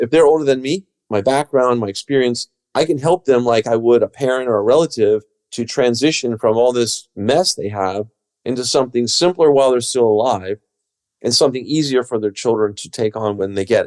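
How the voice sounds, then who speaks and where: A man with a plain, everyday voice speaks at a medium pitch. He goes at a fairly quick pace with ordinary pitch variation. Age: 60s. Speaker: commercial real estate broker. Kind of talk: interview.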